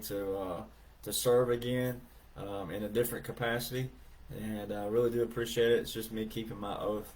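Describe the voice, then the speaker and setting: Against noticeable background noise and audible room echo, a man with a strong Southern US accent talks at a fairly low pitch with fairly even intonation. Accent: deep Southern drawl. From US South (Alabama). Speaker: livestreamer, veteran. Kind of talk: casual livestream chat reading comments. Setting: live video stream. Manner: halting, many fillers.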